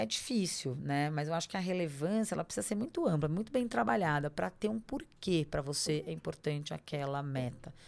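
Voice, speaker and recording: This woman's pitch is very deep and low, with very wide pitch swings. She keeps a moderate pace on a very clean recording with a silent background. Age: 40s. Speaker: lawyer and personal development coach. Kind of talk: interview conversation.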